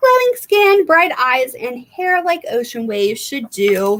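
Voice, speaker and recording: Putting on a character voice, a woman speaks at a high pitch and a fairly slow pace. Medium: read story.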